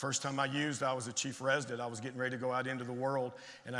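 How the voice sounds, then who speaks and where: A man with a Tennessee accent, animated in tone and very fast in pace, amid audible room echo. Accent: Tennessee Southern. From Tennessee, US South. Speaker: addiction medicine physician. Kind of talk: conference talk. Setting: stage with audience.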